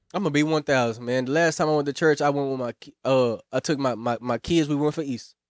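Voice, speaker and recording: A man with an unremarkable speaking voice, fairly high-pitched and fairly even in intonation, at a fairly quick pace, with a dry, close sound, no echo and a quiet background. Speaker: podcast guest. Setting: studio.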